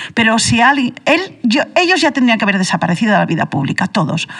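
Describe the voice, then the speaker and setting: Her voice fairly high in pitch and somewhat breathy, a woman speaks. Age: 60s. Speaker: radio panelist. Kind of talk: heated debate. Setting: radio studio. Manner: animated.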